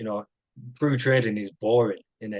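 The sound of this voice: At a moderate pace, a man talks with a fairly low pitch and fairly even intonation.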